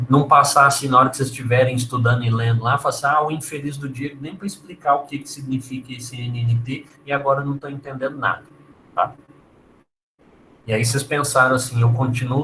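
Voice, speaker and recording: A man with a medium pitch and a bright, sharp tone speaks at a fairly quick pace. His intonation is monotone and flat, while his loudness swings widely. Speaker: university lecturer. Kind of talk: lecture.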